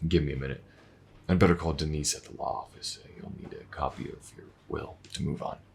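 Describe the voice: Using a put-on character voice, a man talks at a fairly quick pace in an extremely low pitch with vocal fry, a husky, rough edge and fairly even intonation. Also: slightly mellow tone.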